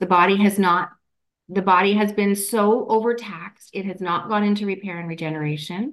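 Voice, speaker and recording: Speaking in a Canadian accent, a woman with an ordinary speaking voice and medium pitch talks at a fairly quick pace with fairly even intonation. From Canada. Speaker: energy healer and author. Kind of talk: interview.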